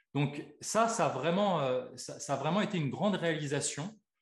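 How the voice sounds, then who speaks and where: A man with a fairly high pitch and an unremarkable speaking voice. His intonation is lively. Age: 40s. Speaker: osteopath and life coach. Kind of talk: interview.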